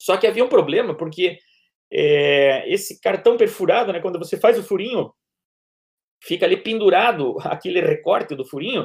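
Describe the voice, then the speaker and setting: A man talking at a moderate pace. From Brazil, Paraná. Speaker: law professor and public prosecutor. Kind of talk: interview. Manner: halting, with frequent fillers.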